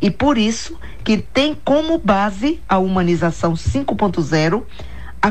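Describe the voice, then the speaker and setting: With audible room echo, a woman of medium pitch speaks very slowly, her loudness very even and her pitch swinging very widely. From Bahia, Brazil (Itapeipu, near Jacobina). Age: 60s. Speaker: executive coach and author. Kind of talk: radio interview.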